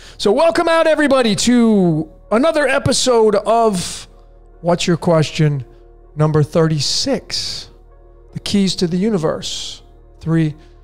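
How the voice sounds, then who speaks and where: With music in the background, a man speaks very slowly at high pitch, making long, frequent pauses and very wide pitch swings. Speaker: podcast host. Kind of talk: casual podcast monologue. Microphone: studio mic.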